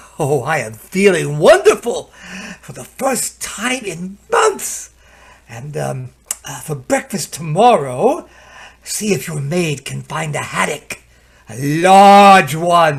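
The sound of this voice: A man's put-on character voice, fairly high and slow, with big pitch swings, vocal fry and a slightly husky edge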